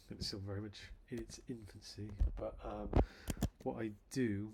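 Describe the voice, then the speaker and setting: Mumbling at a fairly slow pace, a man speaks in a somewhat breathy voice of fairly low pitch. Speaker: software developer. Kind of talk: tutorial. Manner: halting. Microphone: quiet levels compared to playback audio.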